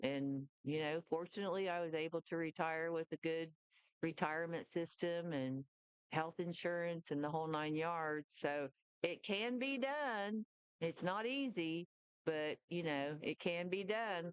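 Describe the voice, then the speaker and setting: In a normal speaking voice, a woman speaks at a fairly low pitch and fairly slow pace with very even loudness, in a dry, close sound with no echo. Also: ordinary pitch variation. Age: 60s. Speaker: retired nurse. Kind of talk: casual chat.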